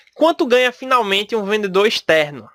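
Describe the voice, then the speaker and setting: Recorded very cleanly against a silent background, a man's bright, sharp tone comes through dry and close with no echo. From Brazil, Recife (Pernambuco). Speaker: podcast host, salesperson. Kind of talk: solo podcast talk. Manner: casual, conversational.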